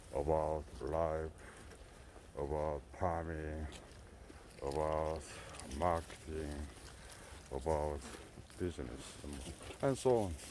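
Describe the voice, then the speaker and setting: A man's very deep, low voice, very slow in pace, with fairly even intonation. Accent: Korean. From South Korea. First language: Korean. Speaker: goat farmer. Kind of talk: casual vlog talk. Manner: halting.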